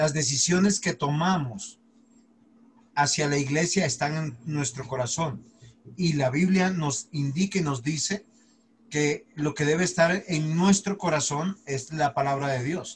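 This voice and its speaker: A somewhat breathy man speaks at a fairly slow pace over light background noise. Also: ordinary pitch variation. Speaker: pastor teaching a Bible class. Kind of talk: lecture. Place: home room. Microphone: video call.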